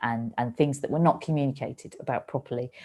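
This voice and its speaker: Her voice sits at a very deep, low pitch. The woman keeps her intonation fairly even. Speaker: comedian and author reading from her book. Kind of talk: author reading and discussing her book in a festival talk.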